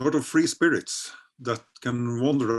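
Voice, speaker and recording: Here a man speaks with a Norwegian accent and ordinary pitch variation. The recording is very clean, with a silent background. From rural Norway. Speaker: novelist. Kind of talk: interview conversation. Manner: halting, many repetitions.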